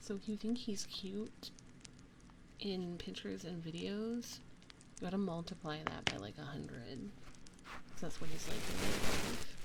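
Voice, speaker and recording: A woman with a plain, everyday voice speaks at a fairly slow pace and fairly low pitch, her intonation lively and her loudness swinging widely. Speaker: ASMR streamer. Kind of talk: casual live stream chatting with viewers.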